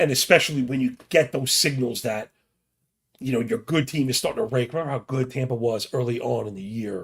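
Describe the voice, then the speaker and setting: This man's medium-pitched, somewhat breathy voice moves at a fairly quick pace with ordinary pitch variation. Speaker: sports betting podcast host. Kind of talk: casual sports betting preview monologue. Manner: casual, fast-talking.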